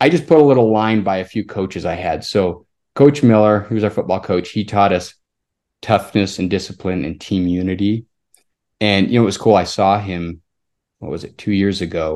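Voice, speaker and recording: A man with an American accent speaks in an unremarkable speaking voice, fairly low in pitch, at a moderate pace. His pitch variation is ordinary, and the background is quiet. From Utah, Salt Lake area. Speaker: pharmacist and amateur cyclist. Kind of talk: casual interview.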